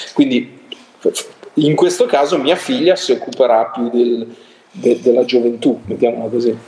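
Long, frequent pauses mark a man's speech over noticeable background noise. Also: moderate pace. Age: 50s. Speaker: music critic. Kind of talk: casual chat.

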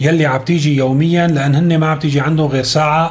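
Noticeable background noise sits behind this man. His pitch is fairly high. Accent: Syrian. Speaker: news commentator. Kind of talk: news commentary monologue.

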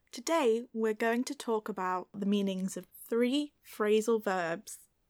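Woman with a British accent and fairly high pitch, ordinary pitch variation, at a very slow pace, with a dry, close sound with no echo on a very clean recording with a silent background. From Britain. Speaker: English teacher. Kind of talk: tutorial. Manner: clear, measured.

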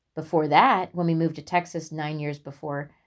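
A woman with a US Midwestern accent speaks in a very deep, low voice on a very clean recording with a silent background. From US Midwest, Indiana (West Lafayette). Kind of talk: devotional testimony.

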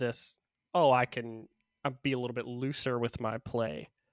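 A man's unremarkable speaking voice at a medium pitch and moderate pace, with a dry, close sound, no echo, and a very clean recording with a silent background. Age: 30s. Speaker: esports podcaster. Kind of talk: casual chat.

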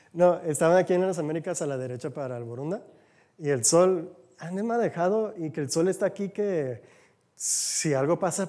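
At a moderate pace, a man speaks in a high pitch with a dark, mellow tone and ordinary pitch variation. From United States. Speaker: lay church speaker. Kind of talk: sermon. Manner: conversational.

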